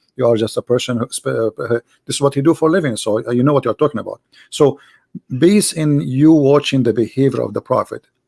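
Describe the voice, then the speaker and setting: A man talks at a very fast pace with a fairly high pitch. His tone is dark and mellow, with ordinary pitch variation and a dry, close sound with no echo. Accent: Arabic. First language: Arabic. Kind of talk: debate. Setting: Skype call, live stream.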